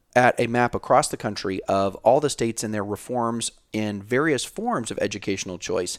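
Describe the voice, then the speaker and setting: A man with an American accent talks fairly quickly at a medium pitch, in an unremarkable speaking voice. The recording is very clean with a silent background, and the sound is dry and close with no echo. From Florida. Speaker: podcast co-host. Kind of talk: casual chat and interview.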